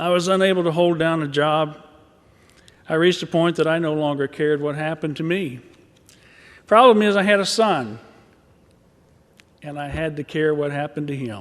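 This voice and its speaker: Long, frequent pauses break up a man's fairly quick speech, which has ordinary pitch variation. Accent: Southern US. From Arkansas. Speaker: mental health advocate. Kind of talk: rally speech. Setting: stage at a rally.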